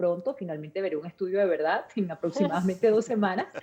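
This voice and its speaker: At a fairly quick pace, a woman speaks with a Venezuelan accent in a medium pitch with ordinary pitch variation. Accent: Venezuelan Spanish, well preserved. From Venezuela, La Guaira. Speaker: journalist. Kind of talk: interview.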